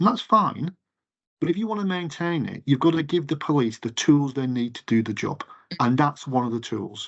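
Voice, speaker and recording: A man speaks at a moderate pace with an English accent. His pitch is fairly high. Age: 50s. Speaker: retail campaigns director. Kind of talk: interview. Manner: halting.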